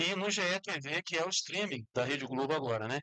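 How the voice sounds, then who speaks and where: This man has a fairly high pitch. His intonation is lively. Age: 60s. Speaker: sports talk show host. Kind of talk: casual sports talk.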